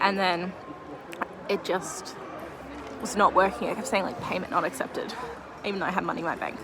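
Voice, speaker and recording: The speaker has an Australian accent and fairly even intonation, talking at a fairly quick pace with long, frequent pauses. Room echo is audible, and there is noticeable background noise. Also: woman, medium pitch for a woman. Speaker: artist vlogger selling at a market. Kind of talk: vlog talking to camera. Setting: market stall with customers. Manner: chatty, fast.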